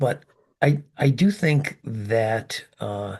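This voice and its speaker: A somewhat breathy man's voice at medium pitch, over a quiet background. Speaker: podcast co-host, ultrarunner. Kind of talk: casual chat.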